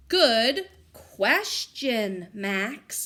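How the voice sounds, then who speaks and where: Using a put-on character voice, a woman talks at a fairly high pitch with very wide pitch swings. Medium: read story. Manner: bossy, confident.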